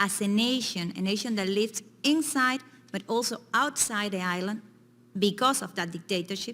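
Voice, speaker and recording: At a moderate pace, a woman speaks in a Cuban accent with ordinary pitch variation. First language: Spanish. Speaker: activist witness. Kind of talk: hearing testimony. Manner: halting, repetitive.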